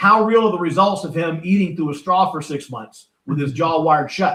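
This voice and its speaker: Speaking at a moderate pace, a man uses a high, bright and sharp voice with ordinary pitch variation. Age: 60s. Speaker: author and motivational speaker. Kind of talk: podcast interview. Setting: podcast recording.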